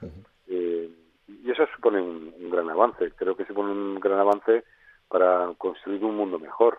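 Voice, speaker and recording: With a plain, everyday voice, a man speaks at a fairly low pitch and moderate pace, his intonation fairly even but his loudness swinging widely. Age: 60s. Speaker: head of an advertising industry association. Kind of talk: interview. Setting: phone call.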